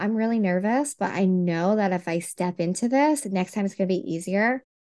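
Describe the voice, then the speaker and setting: This woman sounds energetic, with a medium pitch and ordinary pitch variation. She talks at a moderate pace over a quiet background. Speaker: podcast host and Reiki trainer. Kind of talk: casual interview.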